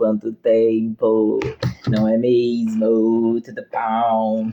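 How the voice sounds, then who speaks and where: A man speaks very slowly at medium pitch in a monotone, flat intonation. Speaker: health course teacher. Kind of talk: lecture; casual chat.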